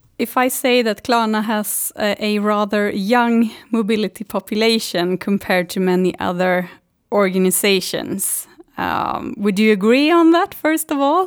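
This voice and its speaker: On a very clean recording with a silent background, a woman with a Swedish accent speaks fairly slowly in a fairly high voice with lively intonation. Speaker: podcast host, tax lawyer. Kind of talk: interview.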